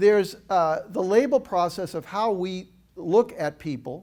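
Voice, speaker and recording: The recording is very clean, with a silent background. A man speaks in a high voice. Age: 70s. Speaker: motivational speaker. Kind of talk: inspirational talk. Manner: animated.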